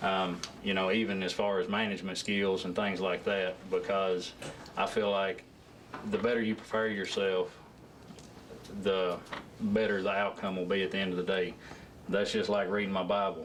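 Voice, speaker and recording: Soft-spoken, with a Southern US accent, a man talks in a monotone at a fairly low pitch, leaving long, frequent pauses, with audible room echo and noticeable background noise. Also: moderate pace, very even loudness. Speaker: job candidate at council interview. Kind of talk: job interview. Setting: council meeting room with audience. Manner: halting.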